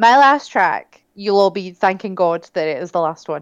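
A woman's medium-pitched voice in a British accent at a moderate pace. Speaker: podcast co-host. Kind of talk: casual chat.

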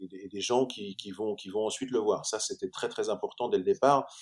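The man speaks at a fairly slow pace. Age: 40s. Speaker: actor. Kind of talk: interview. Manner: halting, many repetitions and hesitations.

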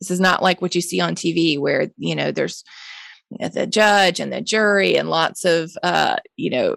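A woman with a Mississippi accent at a moderate pace, in a very clean recording with a silent background. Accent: Southern US (Mississippi). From US South, Jackson, Mississippi. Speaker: nonprofit founder, drug policy advocate. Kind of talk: interview conversation.

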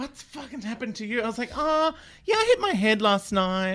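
The speaker has an Australian accent and a bright, sharp tone. Delivery comes at a fairly quick pace with lively intonation. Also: man. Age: 40s. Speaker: comedian. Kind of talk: casual panel-show banter.

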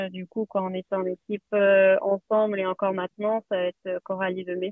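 A woman speaks at a medium pitch in a flat, monotone delivery. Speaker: cycling team sports director. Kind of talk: interview. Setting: in a car, remote.

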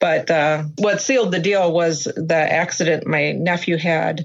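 A plain, everyday voice with an American accent moves through ordinary pitch variation. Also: woman. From Minnesota, US Midwest. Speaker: dog owner, therapy dog handler. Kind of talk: interview. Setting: video call.

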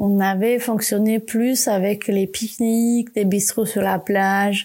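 In a dark, mellow tone and a medium pitch, a woman with a non-native accent speaks at a very slow pace with fairly even intonation. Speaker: podcast host, communication designer. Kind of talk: solo podcast monologue. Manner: hesitant, many fillers and repetitions.

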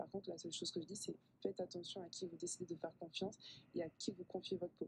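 Speaking at a very fast pace, a woman with a fairly low pitch sounds somewhat breathy. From southern France. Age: 20s. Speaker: pharmacist and skincare expert. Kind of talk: radio interview. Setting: radio studio.

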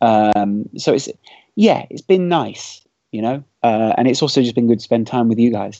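Medium pitch, ordinary pitch variation and a moderate pace in a man's ordinary speaking voice. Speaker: football podcast co-host. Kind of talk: casual chat.

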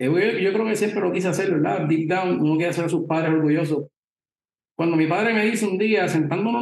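A man speaks in a high pitch at a fairly quick pace. His pitch varies in an ordinary way. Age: 30s. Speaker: podcast panelist, lawyer. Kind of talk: panel discussion, live stream.

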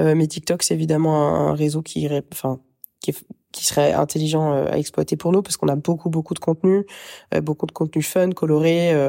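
Very clean recording with a silent background of a woman's very deep, low voice, dark and mellow in tone, monotone and flat, at a fairly quick pace. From Paris region, France. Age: 30s. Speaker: fashion business co-founder. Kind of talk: interview.

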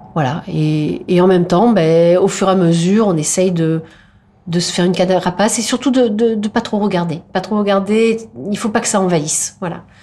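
A woman at medium pitch, moderate pace and ordinary pitch variation, over noticeable background noise. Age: 50s. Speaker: politician and doctor. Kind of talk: interview. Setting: meeting room. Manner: halting, many hesitations.

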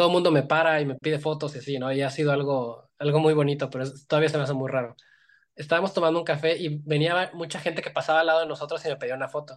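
A man speaks at a very fast pace with a Mexican accent. His pitch is fairly high and his intonation fairly even. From Mexico, Iguala, Guerrero. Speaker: visual effects animator. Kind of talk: interview.

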